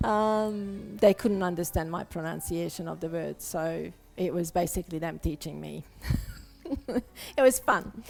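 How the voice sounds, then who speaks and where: A woman's strong European accent at a fairly slow pace, with long, frequent pauses, big swings in loudness and music in the background. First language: non-English European language. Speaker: abstract painter. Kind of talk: live-stream painting demonstration with chat.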